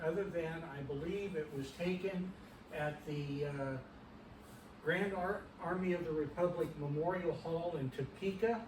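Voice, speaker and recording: A man with a Midwestern US accent talks at a moderate pace in a high pitch for a man, with ordinary pitch variation, audible room echo and noticeable background noise. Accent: rural Midwestern American. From Kansas, Allen County. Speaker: retired fire chief and lineage society commander. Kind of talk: history talk. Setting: meeting room with audience, no microphone. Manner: hesitant, many fillers. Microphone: no microphone, distant in room.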